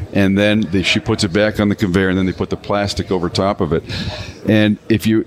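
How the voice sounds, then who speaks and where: A man's fairly low voice proceeds at a moderate pace while noticeable background noise carries on around him. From Canada. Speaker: vodka brand founder. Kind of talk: casual interview. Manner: animated storytelling.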